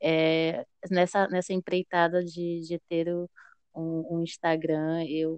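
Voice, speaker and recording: Monotone and flat, a woman's fairly low voice comes through in a dry, close sound with no echo. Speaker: psychologist and HR analyst. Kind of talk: casual interview chat. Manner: talkative.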